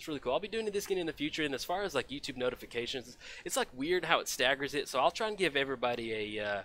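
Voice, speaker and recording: A man with an American accent talks very fast in a fairly high voice. His tone is bright and sharp, with very wide pitch swings. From Texas, Dallas. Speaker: game streamer. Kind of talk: casual live stream commentary. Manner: casual, filler-heavy.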